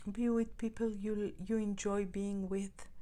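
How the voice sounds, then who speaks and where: The speaker is a woman with a non-native accent. Her pitch sits in the medium range. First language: not English. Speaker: tarot reader. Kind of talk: tarot reading monologue. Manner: halting, repeats words.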